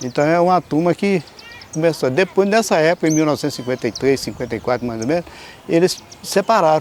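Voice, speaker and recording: Over noticeable background noise, a man with a fairly high pitch talks at a very fast pace. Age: 60s. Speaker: local resident interviewee. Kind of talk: documentary interview. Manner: halting.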